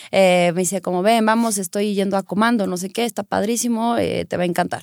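A woman with an ordinary speaking voice talks at a fairly quick pace in a medium pitch with fairly even intonation, the sound dry and close with no echo. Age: 30s. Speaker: lawyer and acrobat. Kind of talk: casual chat.

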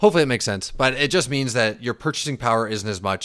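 On a very clean recording with a silent background, a man with a Western Canadian accent speaks with ordinary pitch variation. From Canada, Vancouver region. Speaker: finance podcast host. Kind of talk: casual explainer. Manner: casual, filler-heavy.

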